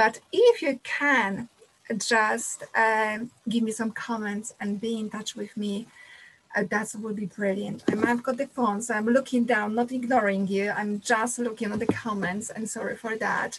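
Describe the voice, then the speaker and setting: A woman speaks with a Polish accent at a fairly slow pace. Her pitch is fairly high and her intonation fairly even. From Poland. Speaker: physiotherapist and wellness speaker. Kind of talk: live-streamed talk. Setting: online live stream. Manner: halting.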